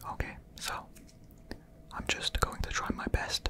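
A man whispers his words at a very slow pace. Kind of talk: casual thinking aloud, reading quiz questions. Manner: soft murmured ASMR self-talk.

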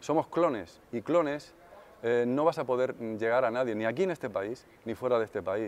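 At a moderate pace, the man's pitch rises and falls in an ordinary way. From Spain (provinces, outside Madrid). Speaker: session drummer and songwriter. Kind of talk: interview answers; interview answer. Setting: music industry event. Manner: hesitant, with fillers. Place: hall. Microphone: lapel.

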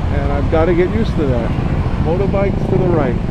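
Speech moves at a fairly quick pace against loud background noise. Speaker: motovlogger. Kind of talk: casual ride commentary. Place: motorbike.

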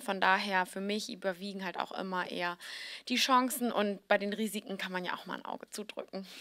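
Her tone bright and sharp, a woman speaks at a moderate pace in a medium pitch with fairly even intonation against a quiet background. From Hamburg, northern Germany; Germany. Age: 30s. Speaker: fashion blogger and founder; fashion blogger. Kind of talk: interview. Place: hall. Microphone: handheld.

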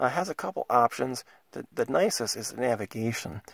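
In a dry, close sound with no echo, a man's voice shows vocal fry and very wide pitch swings. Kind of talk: casual product walkthrough to camera.

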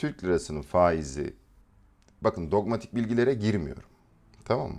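This man's voice has very wide pitch swings. Vocal fry runs through it. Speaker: trading educator. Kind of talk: live stream market analysis. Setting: live stream.

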